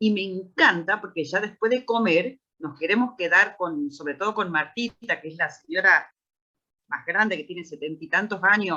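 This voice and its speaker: A woman with a Rioplatense accent speaks at a moderate pace with lively intonation and a bright, sharp tone. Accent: Argentine Spanish (rioplatense). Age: 60s. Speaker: founder of a special-needs institution, parent. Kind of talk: panel discussion.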